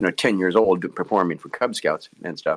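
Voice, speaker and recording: The recording is dry and close, with no echo. A man speaks with an American accent. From Nebraska, US Midwest. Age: 70s. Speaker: ventriloquist. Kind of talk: interview. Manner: halting.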